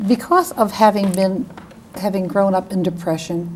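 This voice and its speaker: The speech has ordinary pitch variation and a New England accent. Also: woman. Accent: New England American. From Connecticut, Bridgeport. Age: 70s. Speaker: lawyer. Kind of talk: oral history interview.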